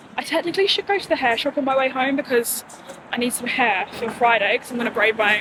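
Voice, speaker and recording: Amid noticeable background noise, a woman talks at a fairly quick pace with a high pitch. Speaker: vlogger. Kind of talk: casual vlog talk. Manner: whispering.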